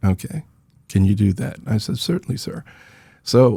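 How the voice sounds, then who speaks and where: A man speaks at a moderate pace in an American accent. His intonation is lively and his voice somewhat breathy. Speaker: Vietnam veteran, nonprofit founder. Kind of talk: interview storytelling. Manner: soft-spoken.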